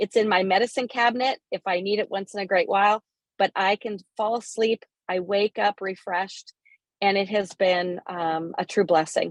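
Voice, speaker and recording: A woman in a normal speaking voice, medium in pitch, with fairly even intonation and a moderate pace, in a dry, close sound with no echo. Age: 60s. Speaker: business partner sharing product testimony. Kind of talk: testimony.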